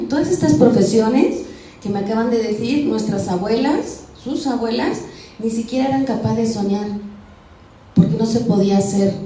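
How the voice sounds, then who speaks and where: Amid noticeable background noise and audible room echo, a woman speaks fairly quickly at a fairly high pitch with lively intonation. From Spain. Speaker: radio and television communicator, lexicographer. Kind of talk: motivational talk to schoolgirls.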